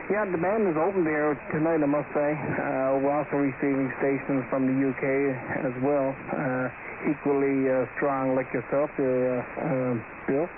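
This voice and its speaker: A man speaks at a moderate pace with a fairly high pitch, fairly even intonation and very even loudness. Noticeable background noise runs behind him. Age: 60s. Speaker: amateur radio operator. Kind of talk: ham radio contact chat. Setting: radio transmission.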